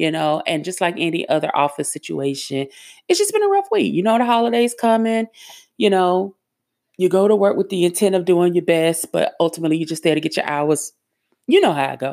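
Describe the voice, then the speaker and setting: Fairly low in pitch, a woman talks at a fairly quick pace. Her tone is animated. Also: ordinary pitch variation. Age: 40s. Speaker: podcast host. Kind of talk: casual solo podcast monologue.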